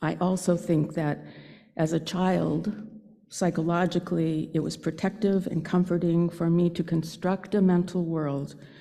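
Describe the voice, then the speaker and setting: A woman with an American accent, dark and mellow in tone with vocal fry, flat and monotone at a fairly slow pace, on a very clean recording with a silent background. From Northern California, Santa Rosa. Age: 70s. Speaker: lay speaker at a church service. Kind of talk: personal reflection talk in a worship service.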